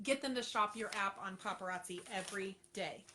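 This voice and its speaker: A woman with an American accent speaks at a moderate pace with ordinary pitch variation, and background noise is noticeable. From Florida, Treasure Coast. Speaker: direct sales consultant. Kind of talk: livestream coaching talk. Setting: live stream. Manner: animated.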